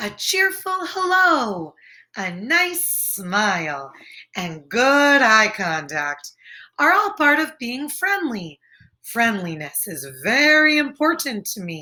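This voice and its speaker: This put-on character voice moves very slowly and swings very widely in pitch. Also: woman, high pitch for a woman. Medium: read story. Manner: fretful, earnest.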